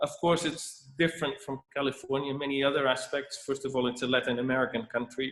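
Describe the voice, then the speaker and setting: This man has a Dutch accent and a medium pitch. He talks at a fairly quick pace. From Netherlands. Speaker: winemaker. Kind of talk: presentation. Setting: video call. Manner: halting.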